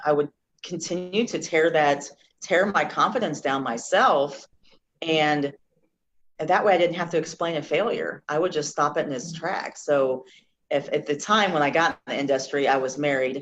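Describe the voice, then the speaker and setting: Very deep, low pitch from a woman, moderate in pace and ordinary in pitch variation. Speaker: former car dealership worker. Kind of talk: interview. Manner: halting.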